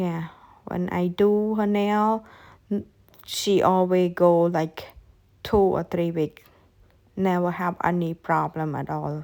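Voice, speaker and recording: This woman has a non-native accent and a fairly low pitch, with a dark, mellow tone and fairly even intonation. She speaks at a very slow pace on a very clean recording with a silent background. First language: not English. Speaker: nail technician. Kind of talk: tutorial. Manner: halting.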